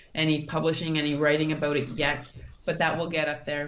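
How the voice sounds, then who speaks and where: In a Canadian accent, a woman speaks with a very deep, low pitch and monotone, flat intonation, with audible room echo. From Canada, Thunder Bay, Ontario. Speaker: mountaineer and brain injury survivor. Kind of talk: interview.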